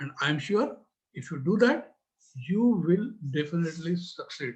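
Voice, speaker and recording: A man with an Indian accent, high in pitch, with lively intonation. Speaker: business trainer. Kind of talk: talk. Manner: hesitant, many fillers.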